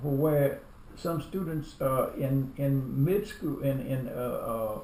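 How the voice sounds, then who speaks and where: With audible room echo throughout, the talking proceeds very slowly. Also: man. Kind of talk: family interview. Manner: halting, many repetitions.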